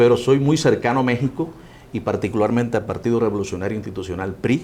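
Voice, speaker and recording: A man with a Cuban accent talks very fast at a medium pitch, his intonation lively and his tone dark and mellow. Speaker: interviewer. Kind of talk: interview.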